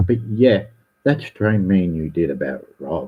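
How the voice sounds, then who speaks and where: This man, with an Australian accent, talks at a fairly slow pace with a fairly low pitch, vocal fry and very wide pitch swings. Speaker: livestreamer. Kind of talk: ranting livestream. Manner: animated, repetitive.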